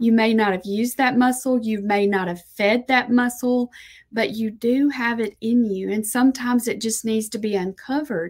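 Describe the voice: A woman speaks at a moderate pace. Her pitch is fairly high and her intonation fairly even.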